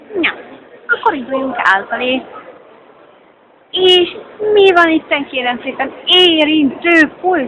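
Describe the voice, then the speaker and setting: Extremely high woman's voice with lively intonation, a very slow pace and long, frequent pauses, over noticeable background noise. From Hungary. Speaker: vlogger. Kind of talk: casual vlog with street interviews. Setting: metro station.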